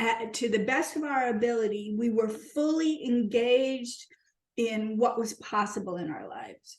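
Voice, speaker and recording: A woman talks at a fairly slow pace. Her pitch is high and her intonation lively. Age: 60s. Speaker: podcast host. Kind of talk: casual podcast conversation.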